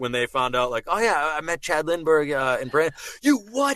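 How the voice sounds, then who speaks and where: With a Boston accent, a man talks fairly quickly at a fairly high pitch with ordinary pitch variation, the sound dry and close with no echo. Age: 30s. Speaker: voice actor and impressionist. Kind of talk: casual chat. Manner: halting, many false starts.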